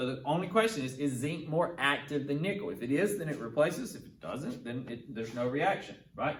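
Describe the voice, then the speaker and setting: A man talks at a fairly quick pace with hardly any pauses, in a fairly high pitch and lively intonation, with big swings in loudness. There is audible room echo and noticeable background noise. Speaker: chemistry teacher. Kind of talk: tutorial. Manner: fast.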